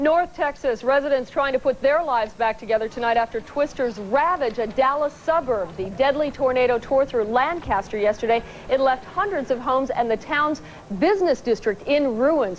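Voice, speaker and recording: Over noticeable background noise, a high-pitched woman talks at a moderate pace with lively intonation and very even loudness. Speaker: TV news co-anchor. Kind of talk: local TV newscast anchoring.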